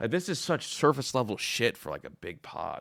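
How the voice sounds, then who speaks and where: A man speaks in an animated tone at medium pitch, his intonation lively. The recording is very clean with a silent background. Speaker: sports reaction streamer. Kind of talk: reaction commentary. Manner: fast.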